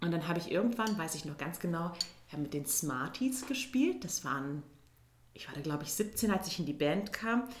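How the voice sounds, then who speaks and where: A woman speaks at a moderate pace and a fairly low pitch, with very wide pitch swings. Room echo is audible. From Turkey (Izmir). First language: Turkish (speaking German). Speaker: musical theatre performer. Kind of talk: casual interview.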